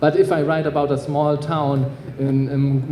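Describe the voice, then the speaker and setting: A man speaks with a German accent at a fairly high pitch. Audible room echo and noticeable background noise surround him. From Germany. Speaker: author. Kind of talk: panel discussion. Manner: halting, many fillers.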